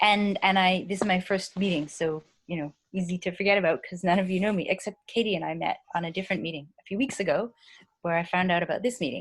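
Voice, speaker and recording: A woman's somewhat breathy, medium-pitched voice at a very fast pace, with ordinary pitch variation. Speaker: PhD student and former nurse. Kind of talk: video call introduction. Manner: quiet.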